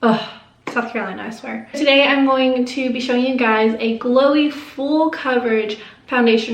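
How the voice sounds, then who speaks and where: A woman speaks at a moderate pace with fairly even intonation. Audible room echo and noticeable background noise surround her voice. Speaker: beauty YouTuber. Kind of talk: makeup tutorial. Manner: casual, chatty.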